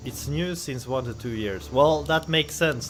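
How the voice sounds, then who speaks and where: Over background music, a man with a non-native accent and medium pitch talks at a fairly quick pace, his pitch swinging very widely. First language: not English. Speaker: streamer and game commentator. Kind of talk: live game commentary on stream. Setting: live stream. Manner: casual, hesitant with many fillers.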